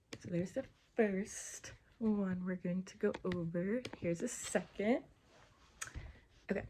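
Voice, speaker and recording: A woman speaks at a fairly slow pace in a dark, mellow, somewhat breathy voice of medium pitch, with ordinary pitch variation, big swings in loudness and long, frequent pauses. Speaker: college student. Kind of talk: study review presentation.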